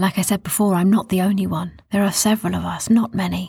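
Delivered in a dramatic tone at a fairly quick pace, the speech sits in a very clean recording with a silent background. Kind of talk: fairy-tale narration, storytelling with character voices. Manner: measured, storyteller's pacing, gently dramatic.

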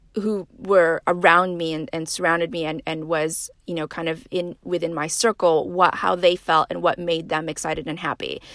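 A woman with an American accent and a fairly low pitch, bright, sharp tone, fairly even intonation and moderate pace, in a very clean recording with a silent background and a dry, close sound without echo. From northern Nevada, US. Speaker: podcast host and life coach. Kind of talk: personal monologue.

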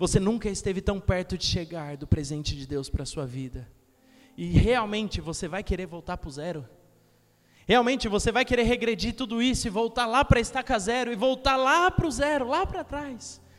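A man with a high pitch talks at a fairly quick pace in an animated tone. His pitch swings very widely and his loudness changes a lot. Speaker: youth preacher. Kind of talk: sermon with urgent exhortation and direct appeals to the congregation. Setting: church with live congregation. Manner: animated, emphatic, repeating phrases for rhythm, conversational with humor.

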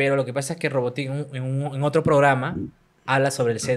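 On a very clean recording with a silent background, the words arrive at a moderate pace. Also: man. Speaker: web show host and interviewer. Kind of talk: casual chat. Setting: home studio. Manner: animated.

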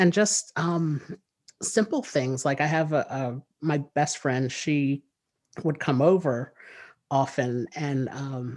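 A man with a New Jersey accent talks at a fairly high pitch. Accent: New Jersey American. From US, New Jersey. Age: 30s. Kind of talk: interview.

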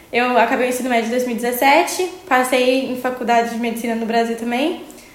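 Noticeable background noise and audible room echo fill the recording. Through them, a woman speaks at a high pitch. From Brazil, small town in Minas Gerais. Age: 20s. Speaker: medical student. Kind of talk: casual interview.

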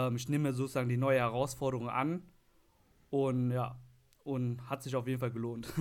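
This man talks at a very fast pace in a medium pitch, his intonation monotone and flat. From Lower Rhine region, western Germany. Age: 20s. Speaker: IT administrator. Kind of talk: casual chat.

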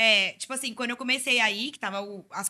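A woman's speech runs at a moderate pace, her pitch varying in an ordinary way. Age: 20s. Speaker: psytrance content creator. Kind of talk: casual chat.

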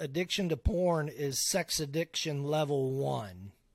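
A man's fairly high voice at a fairly slow pace, with ordinary pitch variation, an ordinary speaking voice, and a very clean recording with a silent background. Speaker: guest sharing recovery story. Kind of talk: testimony.

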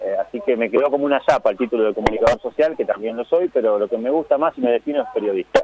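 Against noticeable background noise, a man talks at a very fast pace with hardly any pauses, the sound dry and close with no echo. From Argentina, San Nicolás (Buenos Aires province). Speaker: author and journalist. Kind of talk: radio interview. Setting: phone call.

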